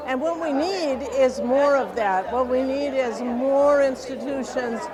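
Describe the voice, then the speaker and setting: Fairly slow speech over crowd noise in the background. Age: 70s. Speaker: senior attendee. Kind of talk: interview.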